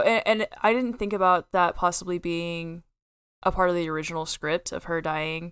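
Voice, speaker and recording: With an American accent, a woman speaks in a normal speaking voice at a fairly low pitch and a moderate pace. Her pitch varies in an ordinary way, and the recording is very clean with a silent background. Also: dry, close sound with no echo. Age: 20s. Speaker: film podcast co-host. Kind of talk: casual chat.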